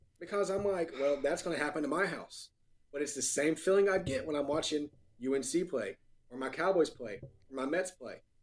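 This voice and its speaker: A man with an American accent speaks in a plain, everyday voice at a fairly quick pace, his fairly high pitch showing ordinary pitch variation. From North Carolina. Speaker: podcast co-host. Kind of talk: casual chat.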